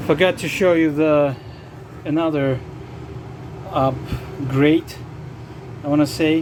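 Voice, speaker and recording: A non-native accent comes through at a very slow pace. Noticeable background noise sits behind the voice. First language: not English. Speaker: RV vlogger. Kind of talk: tutorial. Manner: halting.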